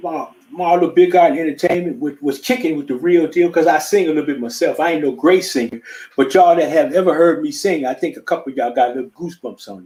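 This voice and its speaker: Speaking very fast, a man uses a high pitch with ordinary pitch variation. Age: 60s. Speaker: musician and vocal coach. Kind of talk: casual chat. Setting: live stream. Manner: halting.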